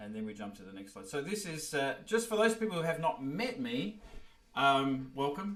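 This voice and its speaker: A man with an Australian accent speaks at a moderate pace with a fairly high pitch. His pitch swings very widely and his loudness shifts a lot. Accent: Australian, noticeable. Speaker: orchestral horn player and music teacher. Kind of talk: online workshop presentation. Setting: video call livestream. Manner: halting, many fillers.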